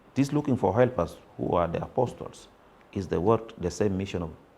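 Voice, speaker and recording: This man speaks at a fairly quick pace. His pitch is fairly low, with a dark, mellow tone. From South Sudan (Wau). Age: 40s. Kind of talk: interview answer.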